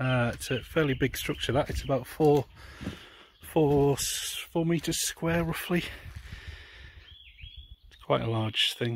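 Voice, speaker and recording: A man talks at a moderate pace in a somewhat breathy voice, his intonation lively. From North East England. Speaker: allotment holder. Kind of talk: casual talk to camera. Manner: hesitant, casual.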